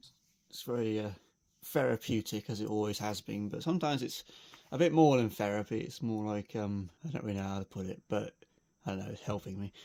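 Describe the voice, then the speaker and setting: A man with a British accent, fairly low-pitched, with lively intonation. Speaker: RC model hobbyist. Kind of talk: casual show-and-tell video. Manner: subdued, low-energy.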